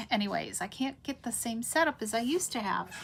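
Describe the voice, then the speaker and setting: Ordinary pitch variation marks this woman's delivery. Her pitch is fairly high. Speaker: craft demonstrator. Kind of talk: live-stream craft tutorial. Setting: home craft room, live stream. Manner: casual, with many fillers.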